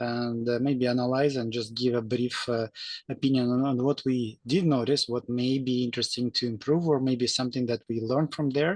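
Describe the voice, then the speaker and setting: A man with a non-native accent speaks at a moderate pace with hardly any pauses and fairly even intonation, in a dry, close sound with no echo against a quiet background. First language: not English. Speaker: engineer volunteer. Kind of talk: video call discussion. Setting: video call. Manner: halting, many fillers.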